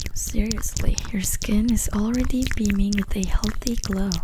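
Noticeable background noise fills the recording. Over it, a woman talks fairly slowly. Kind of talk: soft ASMR role-play talk to viewer.

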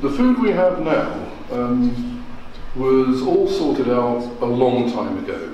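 Audible room echo colors the recording. Light background noise is present as well. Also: man. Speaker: food historian lecturer. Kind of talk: lecture. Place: hall. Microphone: podium.

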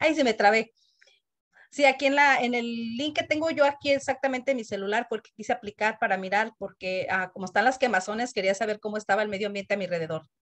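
Her pitch is fairly high, with ordinary variation. The woman talks at a very fast pace. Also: quiet background. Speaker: community committee member. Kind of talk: meeting comment. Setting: video call. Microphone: video call.

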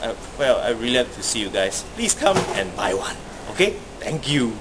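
A man talks at a moderate speed while noticeable noise fills the background. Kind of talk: casual promo vlog chat. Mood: happy, proud. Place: factory. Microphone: phone near.

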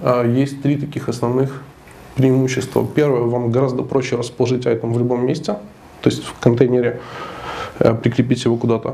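A man talks at a fairly quick pace in a nasal voice with vocal fry, a dark, mellow tone and little pitch movement. Faint background noise sits behind him. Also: medium pitch for a man.

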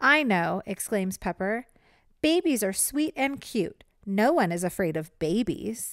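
The voice is an unforced reading voice. It stays that way throughout.

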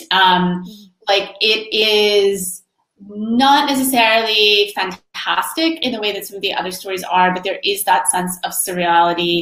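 A woman with an American accent and a plain, everyday voice, medium in pitch, at a fairly slow pace with ordinary pitch variation. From Florida. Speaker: short story writer. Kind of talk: conversation at book launch.

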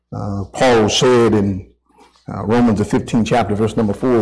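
Ordinary pitch variation from a man at a moderate pace. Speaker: preacher. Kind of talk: sermon. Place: church.

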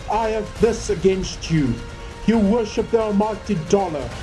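A fairly slow pace over music in the background. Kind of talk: religious prophecy reading.

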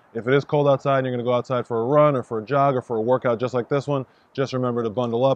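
A man speaks with fairly even intonation in a dry recording with no echo. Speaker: fitness coach. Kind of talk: tutorial. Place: stadium.

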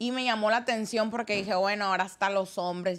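A woman's medium-pitched voice, a normal speaking voice, with fairly even intonation. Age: 20s. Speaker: content creator. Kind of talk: casual chat.

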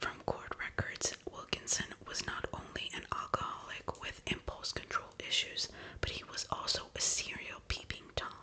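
At a moderate pace, a woman speaks in a whisper. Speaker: ASMR true-crime narrator. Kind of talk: soft-spoken true crime storytelling. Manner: soft, hushed ASMR narration. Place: home room.

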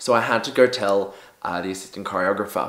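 With an Australian accent, a man speaks at a moderate pace, with audible room echo and a quiet background. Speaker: dancer and performer. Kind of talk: storytime vlog to camera. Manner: casual, humorous. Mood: embarrassed, comic storytelling. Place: home room.

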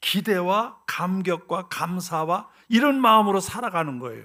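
In a very clean recording with a silent background, a man with a high pitch speaks very slowly with lively intonation. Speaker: retired pastor. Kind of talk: sermon.

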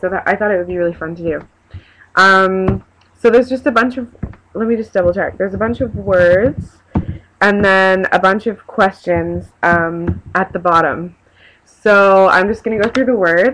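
With a Canadian accent, a woman of medium pitch talks at a moderate pace with ordinary pitch variation over light background noise. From Canada (Victoria, British Columbia). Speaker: vlogger. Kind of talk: casual talk to camera. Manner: hesitant, chatty. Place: home room. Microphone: webcam.

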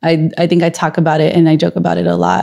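A woman's dark, mellow voice with vocal fry and an American accent, fairly low in pitch, over a quiet background. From Los Angeles, California. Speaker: school board member and former teacher; former teacher. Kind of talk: casual interview. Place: home room. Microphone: handheld.

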